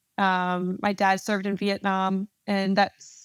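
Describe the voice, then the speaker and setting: A woman with a New Jersey accent speaks at a medium pitch on a very clean recording with a silent background and a dry, close sound with no echo. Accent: New Jersey, faint in this recording. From New Jersey, Central West Jersey. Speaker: army officer. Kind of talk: interview.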